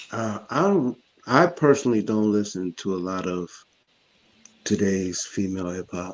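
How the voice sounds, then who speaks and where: Intonation is lively as a man talks at a moderate pace with a fairly low pitch. He leaves long, frequent pauses. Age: 50s. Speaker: panelist. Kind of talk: panel discussion.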